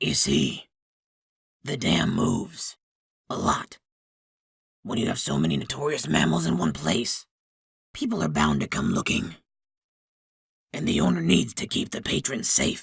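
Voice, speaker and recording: Using a put-on character voice, a man growls very deep and low, raspy, at a moderate pace with long, frequent pauses. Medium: read story. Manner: knowing, slightly smug.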